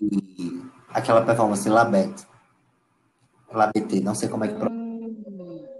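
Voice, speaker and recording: In a Pernambuco accent, a man talks at a very slow pace with long, frequent pauses. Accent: Pernambuco Brazilian Portuguese. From Brazil, Paulista near Recife, Pernambuco. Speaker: visual artist. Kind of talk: interview. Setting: audio call. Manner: halting.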